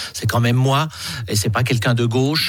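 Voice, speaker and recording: A man speaks with music playing in the background. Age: 60s. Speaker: politician. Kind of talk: radio interview. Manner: halting, repeats words.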